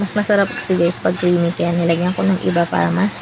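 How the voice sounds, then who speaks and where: A woman's voice over noticeable background noise. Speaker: cooking vlogger. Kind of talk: cooking voice-over. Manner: casual, chatty.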